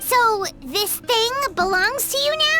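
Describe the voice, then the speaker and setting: Over clear background noise, a man does a squeaky, put-on character voice at a fairly slow pace. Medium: virtual streamer. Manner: playful, theatrical.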